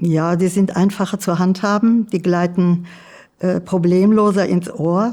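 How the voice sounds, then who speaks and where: At a very slow pace, a woman speaks with a dark, mellow tone, medium pitch and fairly even intonation. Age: 80s+. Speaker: hearing aid user. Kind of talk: testimonial interview. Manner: halting, frequent fillers.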